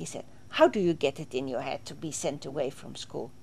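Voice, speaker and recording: A woman speaks in a Swedish accent at a moderate pace. Her voice is fairly low in pitch, with a dark, mellow tone. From southern Sweden (Småland, near Vimmerby). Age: 60s. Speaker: interviewee recounting her life. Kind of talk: interview testimony. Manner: halting, with frequent fillers.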